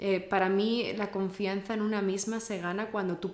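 At a fairly slow pace, a woman speaks at a medium pitch with fairly even intonation. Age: young. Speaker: podcast host. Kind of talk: interview.

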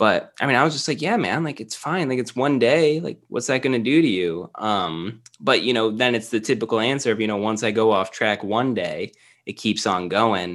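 An unremarkable speaking voice moves at a moderate pace with lively intonation. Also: man, medium pitch for a man. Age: 20s. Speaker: podcast guest, nutrition coach. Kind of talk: casual chat. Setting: remote call.

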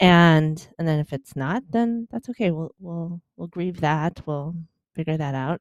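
A plain, everyday voice, this woman speaks at a fairly slow pace and a fairly low pitch with ordinary pitch variation, in a dry, close sound with no echo. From Chicago, US Midwest. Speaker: author and podcast host, mother of twins. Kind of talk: interview conversation. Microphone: good headphones.

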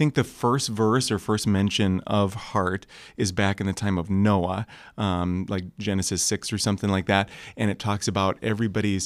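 A man with an American accent talks at a moderate pace in a fairly low pitch and fairly even intonation. The recording is very clean, with a silent background. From US Midwest, Michigan. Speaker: young adults pastor. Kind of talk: casual chat.

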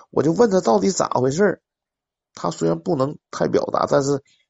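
At a moderate pace, a man speaks in a fairly high voice with vocal fry. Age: 40s. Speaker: caller. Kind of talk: casual chat.

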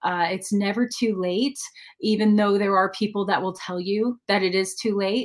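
A woman's unremarkable speaking voice, medium in pitch, at a moderate pace with fairly even intonation. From Denver, Colorado. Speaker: country singer-songwriter. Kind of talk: casual interview.

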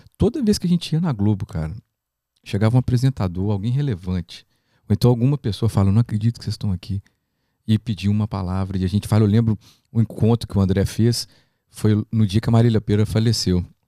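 Very fast and fairly low in pitch, a man speaks in a dark, mellow tone with ordinary pitch variation, on a very clean recording with a silent background and a dry, close sound with no echo. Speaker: podcast host, gospel music producer. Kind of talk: casual podcast interview.

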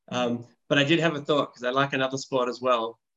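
A man with an Australian accent at a medium pitch, at a very fast pace. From Perth, Western Australia. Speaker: physiotherapist and assistant coach. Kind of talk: casual interview.

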